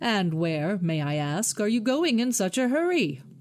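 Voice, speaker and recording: A put-on character voice with a fairly high pitch and very wide pitch swings moves at a moderate pace. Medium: read story. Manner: sly, falsely polite.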